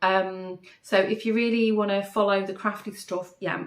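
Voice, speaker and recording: In a Manchester accent, a woman speaks at a fairly slow pace with fairly even intonation. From northern England, Manchester. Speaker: craft podcaster. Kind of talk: casual chat. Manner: hesitant, many fillers.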